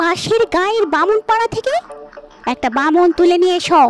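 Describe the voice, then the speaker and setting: Over clear background music, a woman uses a put-on character voice at an extremely high pitch and a fairly slow pace. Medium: read story. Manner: giggling.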